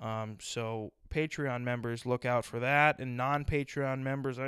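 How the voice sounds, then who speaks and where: Recorded very cleanly against a silent background, a man talks at a moderate pace with a dry, close sound and no echo. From South Dakota, US Midwest. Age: 20s. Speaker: podcast host. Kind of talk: solo comedic monologue. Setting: at home on a couch. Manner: animated.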